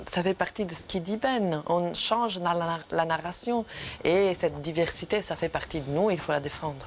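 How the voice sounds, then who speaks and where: Speaking at a moderate pace with an Italian accent, a woman uses a fairly low voice and ordinary pitch variation. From Italy. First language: Italian (speaking French). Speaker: actress. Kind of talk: TV interview. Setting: studio.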